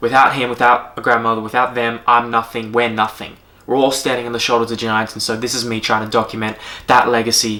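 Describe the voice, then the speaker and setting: In an Australian accent, a man speaks at medium pitch. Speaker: strength coach and yoga teacher. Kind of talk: casual vlog monologue. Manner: halting, many fillers.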